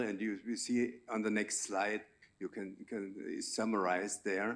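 A man speaks slowly with a fairly low pitch and vocal fry. His intonation stays fairly even.

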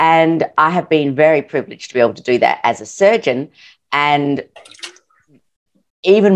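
A woman speaks with an Australian accent and ordinary pitch variation. The background is quiet. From Adelaide, South Australia. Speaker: podcast guest, urological surgeon. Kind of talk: interview answer. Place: home room. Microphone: video call.

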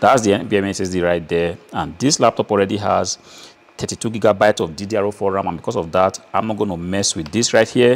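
At a moderate pace, a man talks in a normal speaking voice, fairly low in pitch, with ordinary pitch variation. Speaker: presenter. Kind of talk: tutorial. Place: workshop. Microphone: lapel.

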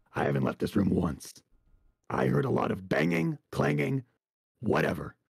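Using a put-on character voice, a man speaks at a moderate pace, raspy and very deep. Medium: machinima. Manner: sarcastic, dry, sullen; indifferent, cagey.

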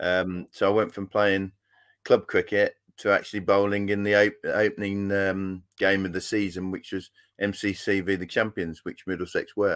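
Against a quiet background, a man with a fairly low pitch talks at a moderate pace in a monotone, flat intonation. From Yorkshire, England. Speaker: former fast bowler, school cricket coach. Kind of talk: casual interview. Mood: relaxed, reflective. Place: home room.

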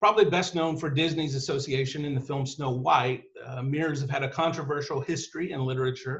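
Against a quiet background, a man with a fairly high pitch talks at a fairly quick pace with hardly any pauses. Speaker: author and writing teacher; guest. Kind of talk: lecture on myth and storytelling. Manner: energetic, animated. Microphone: video call.

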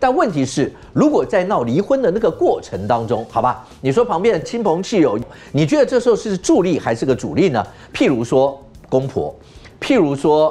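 Music plays in the background as a man speaks at a moderate pace. His pitch is high and swings very widely. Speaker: TV talk show host. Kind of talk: TV talk show discussion. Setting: studio.

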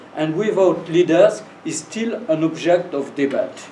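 Speaking fairly slowly in a high voice, a man talks with a French accent. Audible room echo and light background noise surround him. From France. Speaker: professor giving a lecture. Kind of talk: lecture with Q&A. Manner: halting, hesitant English. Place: classroom. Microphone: camera far.

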